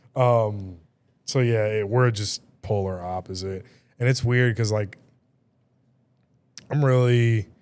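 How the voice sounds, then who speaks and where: Soft-spoken and very slow, a man with a fairly low pitch and fairly even intonation leaves long, frequent pauses in a very clean recording with a silent background. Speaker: podcast host and DJ. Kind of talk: casual chat. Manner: soft-spoken, monotone; louder than usual for the mic.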